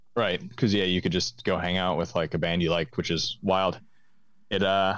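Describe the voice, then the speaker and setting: His voice sits very deep and low. The man talks at a moderate pace. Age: 20s. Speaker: musician and record label owner. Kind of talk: casual chat. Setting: call.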